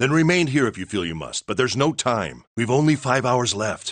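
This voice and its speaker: A growling, put-on character voice from a man at a fairly quick pace, over a quiet background. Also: medium pitch for a man. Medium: video game. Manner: formal, measured.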